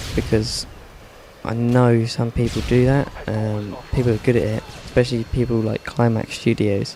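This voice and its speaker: A man with a British accent speaks at a medium pitch and a moderate pace, in a flat monotone. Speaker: gaming video commentator. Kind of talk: gameplay commentary. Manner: dry, deadpan humour.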